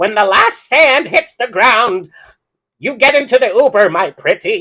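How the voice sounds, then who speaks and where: The speaker uses a put-on character voice with a fairly high pitch. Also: moderate pace. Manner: cackling, mocking.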